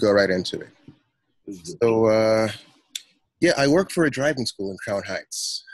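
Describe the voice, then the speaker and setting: The recording is dry with no echo and a quiet background, featuring a man with an American accent. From US. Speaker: novelist; guest. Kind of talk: interview. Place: home room. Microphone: video call.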